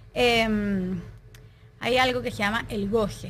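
Audible room echo surrounds a woman whose bright, sharp tone carries vocal fry and ordinary pitch variation. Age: 30s. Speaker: juice maker, wellness guide. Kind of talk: casual interview.

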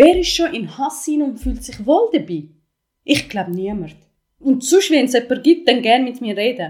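A woman's high voice with very wide pitch swings, big swings in loudness and a moderate pace. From Ethiopia, moved to Switzerland at twelve. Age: 20s. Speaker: podcast host, activist and coach. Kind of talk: personal testimony interview.

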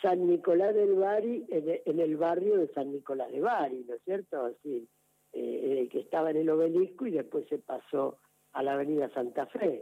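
His intonation moves in a lively way. The man's pitch is high. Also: moderate pace. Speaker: parish priest. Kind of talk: radio interview. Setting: phone call. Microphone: telephone line.

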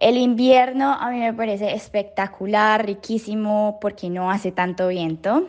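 With an unremarkable speaking voice, a woman talks at a fairly slow pace and a fairly high pitch. She has ordinary pitch variation and hardly any pauses. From Colombia, Cali. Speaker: listener sending voice message. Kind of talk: recorded voice message.

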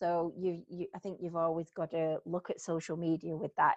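A woman speaks with a northern English accent. Her pitch is fairly low and her pace is moderate. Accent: Greater Manchester northern English. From Bury, Greater Manchester. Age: 40s. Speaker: salon owner. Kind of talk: interview conversation. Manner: animated, humorous.

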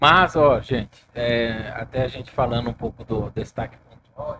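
Fairly slow, medium-pitched speech from a man, with ordinary pitch variation. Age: 40s. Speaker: podcast host. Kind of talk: casual chat. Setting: studio, live stream.

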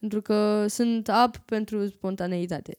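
In a very clean recording with a silent background, a woman speaks with a dark, mellow tone. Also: dry, close sound with no echo. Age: 20s. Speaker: vlogger. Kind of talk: casual interview chat.

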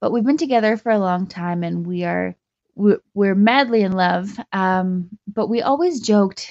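With a Canadian accent, a woman talks in an unremarkable speaking voice at a medium pitch and moderate pace, with ordinary pitch variation. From Canada, Calgary. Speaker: caller, bride-to-be. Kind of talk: voicemail message. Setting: phone voicemail.

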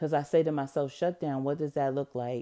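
A woman's very deep, low pitch and dark, mellow tone, with a dry, close sound with no echo and a very clean recording over a silent background. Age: 40s. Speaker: podcast host. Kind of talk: casual monologue. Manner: conversational, off the cuff.

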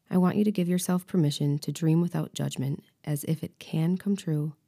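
A woman's unremarkable speaking voice, fairly low in pitch, with fairly even intonation and a dry, close sound with no echo. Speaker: podcast host and life coach. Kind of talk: guided meditation; coaching talk with journaling prompts. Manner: slow, soothing and calm, with long pauses between lines; soft-spoken and gentle, leading the listener through relaxation.

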